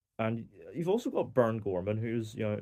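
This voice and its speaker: A man's fairly low voice with a Northern Irish accent and a dark, mellow tone, over a quiet background. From Northern Ireland. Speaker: film reviewer. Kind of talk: casual review monologue. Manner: hesitant, many fillers.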